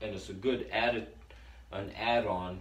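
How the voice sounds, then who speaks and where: A man speaks in a fairly low voice. Audible room echo surrounds him. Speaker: herbalist video host. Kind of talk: tutorial.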